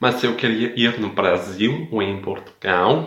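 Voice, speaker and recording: A man at medium pitch speaking at a very slow pace, with ordinary pitch variation. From Denmark. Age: 20s. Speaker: language learner. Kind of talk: recorded listener message.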